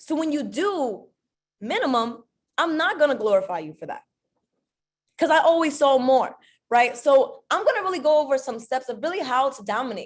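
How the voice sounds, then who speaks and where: Speaking at a moderate pace in a high pitch, a woman sounds animated, her pitch swinging very widely and her loudness rising and falling sharply, with long, frequent pauses. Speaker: network marketing leader, motivational speaker. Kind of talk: motivational talk. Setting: group conference call. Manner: animated, emphatic.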